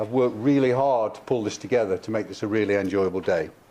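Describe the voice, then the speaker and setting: A man speaks with a Midlands accent. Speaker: event host. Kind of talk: event introduction.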